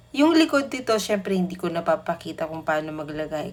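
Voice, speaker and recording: The woman's voice sits at a fairly low pitch. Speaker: cake decorating instructor. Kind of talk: tutorial voice-over. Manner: sleepy-sounding; casual.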